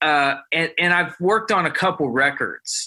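The tone is bright and sharp, in an American accent. The pace is fairly slow. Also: man. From Ohio, near Columbus. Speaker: guitar player. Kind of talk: casual chat.

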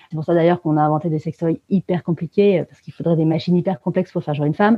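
A woman talks at a very fast pace. Her voice is fairly low-pitched. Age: 30s. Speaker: author and feminist activist. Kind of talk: interview. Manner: hesitant, many fillers.

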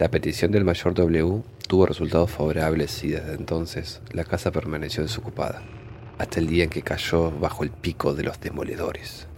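A man talks with ordinary pitch variation in a very deep, low-pitched voice. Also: moderate pace. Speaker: horror story narrator. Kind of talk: scripted ghost story narration, read aloud in hushed, suspenseful tone. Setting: studio.

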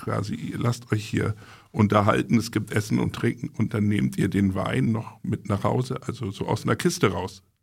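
A man talks with lively intonation at a fairly low pitch. Vocal fry runs through his voice. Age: 40s. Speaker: magazine publisher. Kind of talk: casual chat.

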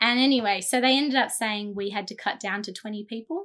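The speaker has an Australian accent and a fairly quick pace. Intonation stays fairly even. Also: woman. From Australia, New South Wales (Jindabyne). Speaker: children's charity director. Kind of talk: casual chat.

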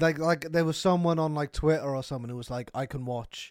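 A man talks with a British accent at a fairly quick pace. His pitch variation is ordinary. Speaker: podcast co-host. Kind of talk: casual chat.

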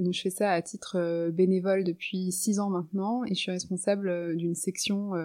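Speaking at a fairly slow pace, a woman uses a dark, mellow tone at medium pitch with fairly even intonation. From Norway, Lebanon and France. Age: 30s. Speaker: writer and poet. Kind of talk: interview conversation. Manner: hesitant, many fillers.

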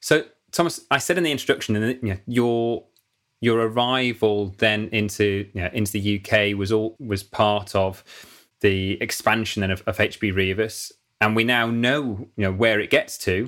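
On a very clean recording with a silent background, a man with a northern English accent speaks at a moderate pace with fairly low pitch and ordinary variation. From northern England. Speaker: podcast host. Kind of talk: interview.

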